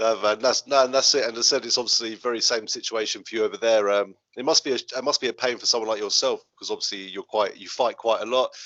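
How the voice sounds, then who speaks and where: Speaking with an English accent at a very fast pace, a man keeps a medium pitch. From England. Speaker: podcast host. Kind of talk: casual interview.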